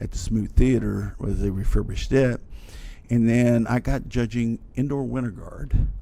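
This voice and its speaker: Speaking at a moderate pace, a man talks with an Appalachian accent. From West Virginia, Logan. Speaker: band director. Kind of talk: podcast interview.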